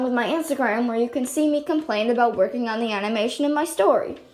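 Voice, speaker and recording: A woman's loud, high-pitched voice at a very fast pace with very wide pitch swings, over noticeable background noise. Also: hardly any pauses. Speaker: amateur animator. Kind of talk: casual vlog update. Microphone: no mic, device built-in.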